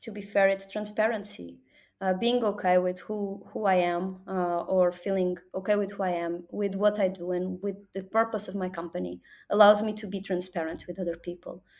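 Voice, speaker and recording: A woman speaks at a moderate pace with a Portuguese accent, her intonation monotone and flat. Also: medium pitch for a woman. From Portugal. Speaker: business development executive. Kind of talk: interview.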